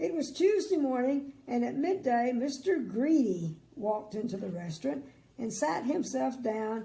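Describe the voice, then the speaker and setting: A woman with a dark, mellow, warm tone and vocal fry speaks at a fairly slow pace, her pitch swinging very widely. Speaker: grandmother storyteller. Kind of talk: children's bedtime story reading. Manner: chatty, warm, adds asides.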